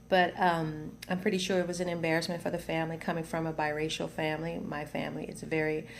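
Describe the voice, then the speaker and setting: An American accent in a monotone, flat delivery with hardly any pauses, plus audible room echo. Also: woman, fairly low pitch for a woman. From US South. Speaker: video blogger. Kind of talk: personal testimony. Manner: halting, many fillers and repetitions.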